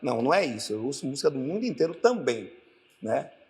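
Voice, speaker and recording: A man with a Bahian accent, talking very fast over noticeable background noise. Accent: Bahian Brazilian. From Bahia, Brazil. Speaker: orchestra conductor. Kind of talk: panel discussion.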